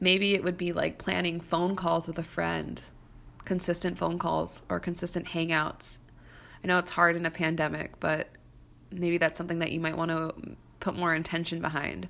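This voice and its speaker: A woman with an American accent speaks at a moderate pace and a fairly low pitch, with vocal fry and monotone, flat intonation. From US Midwest, St. Louis suburbs. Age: 30s. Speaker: podcast host and business coach. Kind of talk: solo podcast monologue. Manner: casual, conversational with fillers.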